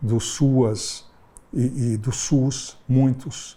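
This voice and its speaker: The voice has a dark, mellow tone, is somewhat breathy, and keeps a fairly even intonation. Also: man. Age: 70s. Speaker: psychoanalyst. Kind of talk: interview-style personal reflection.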